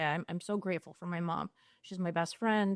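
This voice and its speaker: A woman with a Long Island accent, in a dry, close sound with no echo against a quiet background. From US Northeast, Long Island, New York. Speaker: social worker in recovery. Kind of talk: interview conversation.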